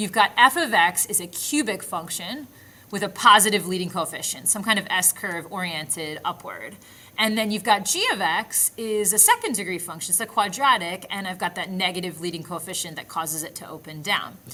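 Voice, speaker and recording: At a fairly quick pace, a woman with a medium pitch and a bright, sharp tone shows ordinary pitch variation and big swings in loudness. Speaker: math teacher. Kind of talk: tutorial. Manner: fast; animated.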